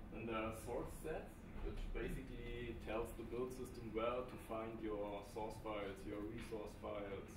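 A man speaks at a fairly slow pace with audible room echo. Noticeable background noise is present too. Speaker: conference speaker. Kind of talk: lecture. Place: classroom.

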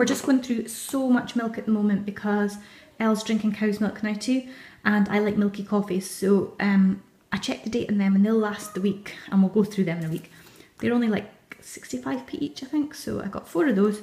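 Amid audible room echo, a woman speaks with few pauses at a medium pitch, using ordinary pitch variation and a dark, mellow tone. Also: moderate pace.

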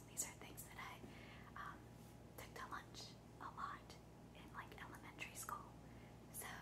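A woman is heard over loud background noise. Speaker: eating video creator. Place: home room.

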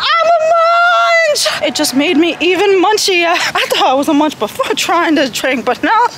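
The speech moves at a fairly slow pace with lively intonation, over light background noise, in a dry sound with no echo. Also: woman, extremely high pitch for a woman. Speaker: vlogger. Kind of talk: casual vlog chat. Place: street. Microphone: phone near.

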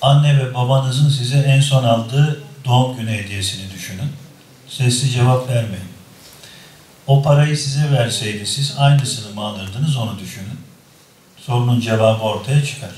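A man talks at a moderate pace with medium pitch and ordinary pitch variation. The room echo is audible, and there is light background noise. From Kocaeli, Turkey. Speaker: provincial governor and economist. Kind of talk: university talk with students. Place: hall. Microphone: podium.

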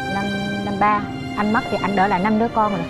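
Loud music plays in the background while a woman speaks at a fairly quick pace, the sound dry with no echo. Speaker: interviewee. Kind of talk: interview answer. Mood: cheerful, laughing while recounting hardship. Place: garden.

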